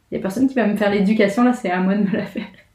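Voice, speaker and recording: A woman's somewhat breathy, medium-pitched voice comes through with audible room echo. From France. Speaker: graphic designer living abroad. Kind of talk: casual chat.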